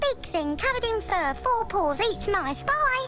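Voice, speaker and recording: Over clear music in the background, a squeaky, cartoonish, female-sounding character voice speaks at a moderate pace and an extremely high pitch. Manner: brisk, fussy.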